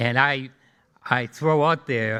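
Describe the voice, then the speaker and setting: A man with a Boston accent, fairly high in pitch, with a bright, sharp tone and ordinary pitch variation. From Boston, Massachusetts (Jamaica Plain). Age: 80s+. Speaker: engineering alumnus. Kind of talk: after-dinner speech. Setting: dinner event with audience.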